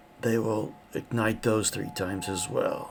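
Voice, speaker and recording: A man's put-on character voice, raspy and medium in pitch, fairly slow and fairly even, over clear background noise. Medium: actual play. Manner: hesitant, stammering.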